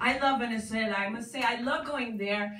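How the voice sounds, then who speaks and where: A woman speaks with ordinary pitch variation. Light background noise and audible room echo surround her voice. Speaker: stand-up comedian. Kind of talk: stand-up comedy routine. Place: stage. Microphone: pa.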